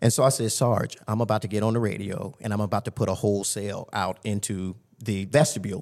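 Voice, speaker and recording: A man's normal speaking voice with an American accent, fairly low in pitch, at a fairly quick pace with fairly even intonation. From Tampa, Florida. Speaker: jail lieutenant. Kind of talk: casual interview.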